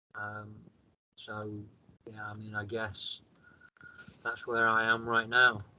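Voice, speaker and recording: Pausing long and often, a man with a northern English accent talks at a very slow pace with a medium pitch. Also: big swings in loudness. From northern England. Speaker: author and near-death experiencer. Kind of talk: interview testimony. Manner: consciously slowed speech; halting, repeats words.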